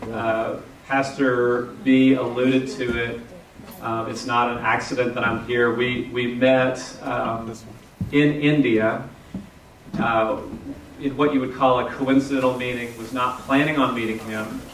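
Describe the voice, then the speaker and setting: A man with a Texan accent talks at a fairly slow pace, medium in pitch, with monotone, flat intonation and long, frequent pauses. Audible room echo and noticeable background noise fill the recording. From Texas, Houston. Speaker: pastor. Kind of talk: sermon.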